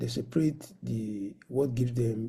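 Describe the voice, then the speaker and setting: A medium-pitched man's dark, mellow, somewhat breathy voice at a fairly slow pace, with ordinary pitch variation. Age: 60s. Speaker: professor of medicine, conference speaker. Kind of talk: lecture.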